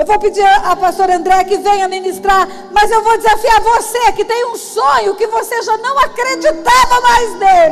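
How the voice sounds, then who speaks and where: A woman speaks at an extremely high pitch with ordinary pitch variation and a moderate pace. She takes hardly any pauses, and there is noticeable background noise. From Brazil, Mato Grosso do Sul. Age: 60s. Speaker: pastor. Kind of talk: testimony and preaching.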